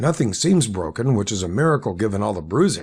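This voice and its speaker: Putting on a raspy character voice, a man sends his pitch through very wide swings. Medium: read story. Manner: measured, professional.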